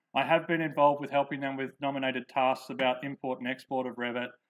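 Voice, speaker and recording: Speaking with an Australian accent, a man talks at a very fast pace and a fairly high pitch. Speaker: software developer and engineer presenter. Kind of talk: conference presentation. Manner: hesitant, many fillers.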